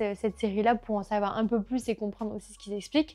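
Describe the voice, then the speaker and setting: Over music in the background, the speech moves at a very fast pace with fairly even intonation. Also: woman. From rural south-west France. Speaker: culture vlogger. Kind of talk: casual monthly favourites vlog. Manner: casual, many hesitations.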